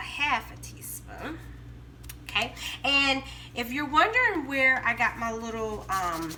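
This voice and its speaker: A woman with a Southern US accent speaks with long, frequent pauses, her voice carrying audible room echo over noticeable background noise. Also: fairly slow pace. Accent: Southern American. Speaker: home cooking vlogger. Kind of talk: cooking tutorial. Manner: casual, chatty.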